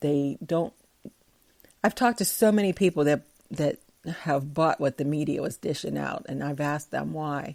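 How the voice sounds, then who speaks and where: At a moderate pace, a woman with a very deep, low pitch and a dark, mellow tone speaks with ordinary pitch variation. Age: 60s. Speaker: podcaster. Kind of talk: casual commentary reading from research. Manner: halting.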